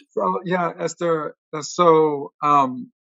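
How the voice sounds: A man's fairly high voice at a slow pace, with ordinary pitch variation, vocal fry, a bright, sharp tone, and a dry, close sound with no echo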